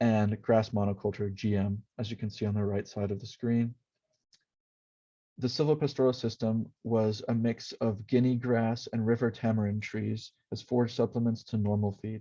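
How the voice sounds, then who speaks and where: A man speaks in a dark, mellow tone at medium pitch. His intonation stays monotone and flat. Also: moderate pace. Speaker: university student. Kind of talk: class presentation narration.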